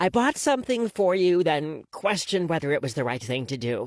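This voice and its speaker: Using a put-on character voice, a woman speaks at a fairly low pitch with very wide pitch swings. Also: fairly quick pace. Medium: read story. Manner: brash, teasing.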